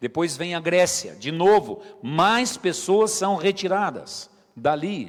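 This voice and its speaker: Delivery is very slow, with ordinary pitch variation. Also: man, high pitch for a man. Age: 50s. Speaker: pastor. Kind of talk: sermon.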